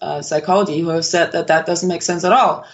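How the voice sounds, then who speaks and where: Here a woman with a Danish accent speaks at a fairly low pitch. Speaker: philosophy professor and author. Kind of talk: interview. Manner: halting, many fillers.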